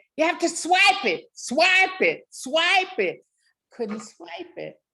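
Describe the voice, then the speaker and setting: With an American accent, a woman projects her raised voice at a very slow pace, her pitch swinging very widely. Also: big swings in loudness. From New Jersey, US. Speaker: author. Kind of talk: interview.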